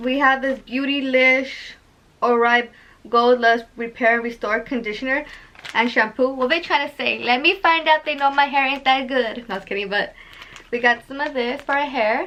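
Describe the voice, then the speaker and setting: A woman's raised, projected voice, high in pitch, with ordinary pitch variation and a moderate pace. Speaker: beauty vlogger. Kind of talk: unboxing vlog. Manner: loud; animated.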